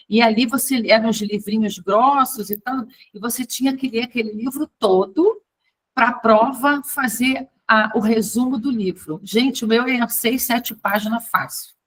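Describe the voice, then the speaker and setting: Her pitch is fairly high, with fairly even intonation, in an unremarkable speaking voice. This woman goes at a fairly slow pace. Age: 50s. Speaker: tarot and fortune-telling teacher. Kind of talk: online class lecture. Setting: recorded video call. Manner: casual, chatty.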